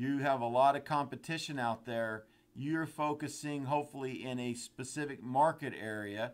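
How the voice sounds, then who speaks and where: This man talks at a moderate pace with a medium pitch and fairly even intonation. He has an unremarkable speaking voice. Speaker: software trainer. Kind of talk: webinar tutorial. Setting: online webinar.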